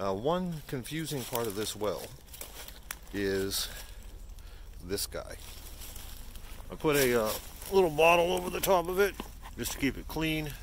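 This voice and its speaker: Pausing long and often, a man speaks fairly slowly with very wide pitch swings, in a dry recording with no echo and light background noise. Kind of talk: tutorial. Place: forest. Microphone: phone near.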